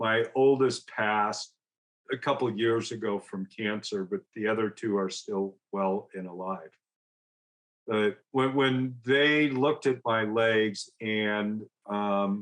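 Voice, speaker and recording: This man has a fairly low pitch and ordinary pitch variation. He talks at a very slow pace. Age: 60s. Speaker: recovery guest, entrepreneur and business coach. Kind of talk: personal testimony in interview. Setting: podcast interview.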